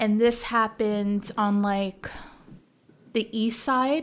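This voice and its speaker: Speaking at a very slow pace, a woman keeps her intonation fairly even. Her pitch is fairly high. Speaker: podcast co-host. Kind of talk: casual chat.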